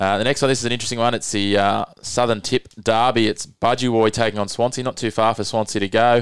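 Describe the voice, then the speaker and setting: A man's medium-pitched voice with an Australian accent, very fast and flat in a monotone, with hardly any pauses, in a dry, close, echo-free and very clean recording with a silent background. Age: 30s. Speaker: podcast host, local rugby league. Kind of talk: casual sports chat.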